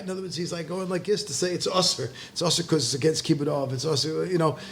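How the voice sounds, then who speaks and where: Talking at a very fast pace with hardly any pauses, a man uses a high pitch and ordinary pitch variation. There is noticeable background noise. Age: 60s. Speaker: rabbi and high school teacher. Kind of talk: casual chat. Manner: halting, many false starts.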